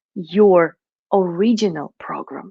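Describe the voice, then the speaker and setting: A woman in a Russian accent, the sound dry and close with no echo, the background quiet. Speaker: money mindset coach. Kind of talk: online summit talk.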